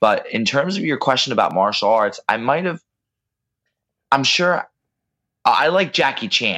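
Against a quiet background, a man with an American accent and a bright, sharp tone speaks at a fairly high pitch and a moderate pace, using very wide pitch swings and long, frequent pauses. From US Northeast. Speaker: martial arts instructor and wrestler. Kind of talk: casual interview. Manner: stutter, managed.

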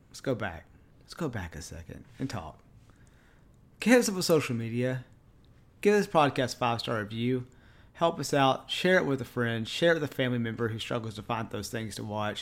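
A man talks at a fairly quick pace, with very wide pitch swings and long, frequent pauses. The recording is very clean, with a silent background. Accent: East Texas. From East Texas. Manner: casual, friendly.

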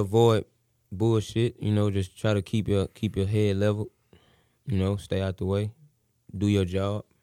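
With an American accent, a man speaks in a plain, everyday voice at a fairly low pitch, moderate pace and fairly even intonation, the sound dry and close with no echo on a very clean recording with a silent background. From Houston, Texas (Missouri City). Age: young. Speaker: rapper. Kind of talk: interview.

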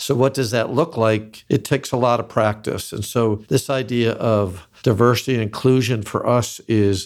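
A man with a normal speaking voice talks at a moderate pace and medium pitch, his intonation fairly even, in a very clean recording with a silent background. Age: 60s. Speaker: company founder and president. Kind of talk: interview conversation.

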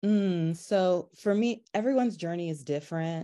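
Someone with an American accent speaks at a moderate pace against a quiet background. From North Carolina. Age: 30s. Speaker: photographer. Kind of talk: interview conversation.

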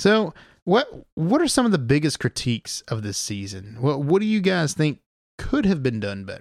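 A man speaks at a moderate pace with a fairly high pitch and very wide pitch swings, in a very clean recording with a silent background and a dry, close sound with no echo. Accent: Southern US. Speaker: podcast host. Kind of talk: casual chat.

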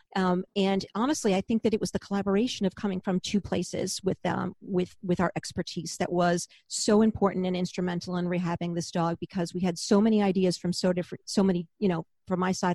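A woman with a plain, everyday voice talks at a fairly quick pace and a medium pitch, with fairly even intonation. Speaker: podcast host, former vet tech, author. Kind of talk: casual chat.

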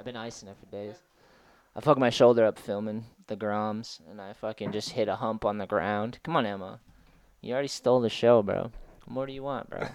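In a normal speaking voice, a man with fairly low pitch talks at a fairly quick pace with fairly even intonation and big swings in loudness over a quiet background. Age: 30s. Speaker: skateboarder and skate instructor. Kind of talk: casual chat.

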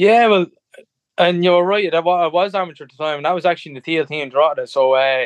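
The speaker goes at a fairly quick pace with ordinary pitch variation in an Irish Midlands accent. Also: man, high pitch for a man. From Ireland, Tullamore area. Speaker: professional MMA fighter. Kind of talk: interview. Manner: halting.

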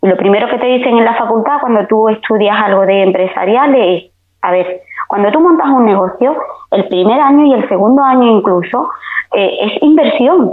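With lively intonation and very even loudness, a woman with a fairly high pitch talks at a moderate pace. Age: 40s. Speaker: beauty technician. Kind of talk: casual chat.

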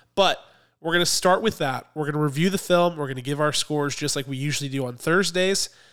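A man talking at a very fast pace, ordinary pitch variation, on a very clean recording with a silent background. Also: fairly high pitch for a man. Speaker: podcast co-host. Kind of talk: casual chat. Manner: animated.

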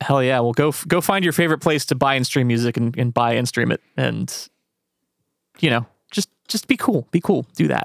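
A man with an American accent and vocal fry, moderate pace, lively intonation and long, frequent pauses, in dry, close sound with no echo. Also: medium pitch for a man. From rural central Pennsylvania. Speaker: podcast host. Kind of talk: casual interview.

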